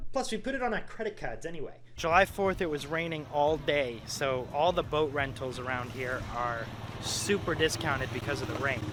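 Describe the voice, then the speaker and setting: Through noticeable background noise, a man with a slight New England accent speaks at a fairly high pitch. His intonation is lively and his pace moderate. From Maine, US. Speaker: YouTuber. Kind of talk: casual storytelling vlog.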